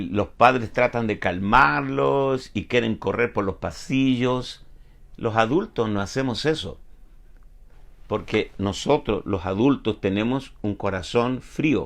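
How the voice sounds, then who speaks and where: A man at medium pitch with lively intonation and a very slow pace, over a quiet background. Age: 70s. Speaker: pastor. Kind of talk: sermon. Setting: online broadcast.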